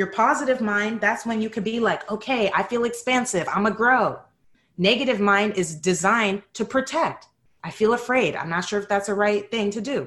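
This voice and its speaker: An ordinary speaking voice delivers the words at a moderate speed. It carries an American accent and ordinary pitch variation. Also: woman. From New York City (Bronx). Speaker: psychotherapist and yoga teacher. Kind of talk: casual interview chat. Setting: podcast interview.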